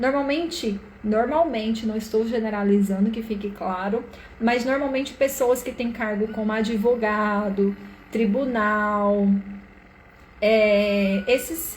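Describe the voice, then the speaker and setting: In a Brazilian accent, a woman speaks very slowly in a fairly high pitch with ordinary pitch variation. Audible room echo surrounds her voice. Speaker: live-stream therapist / systemic coach. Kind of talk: live stream talk. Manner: casual, conversational.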